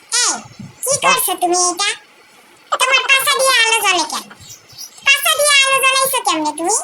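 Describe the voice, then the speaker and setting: In a cartoonish character voice, a squeaky, extremely high pitch comes through at a moderate pace. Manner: whiny, insistent.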